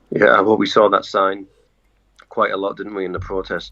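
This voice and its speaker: A man with a British accent speaks at a moderate pace. The sound is dry and close, with no echo. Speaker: journalist. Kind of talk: casual interview chat. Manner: hesitant, many fillers.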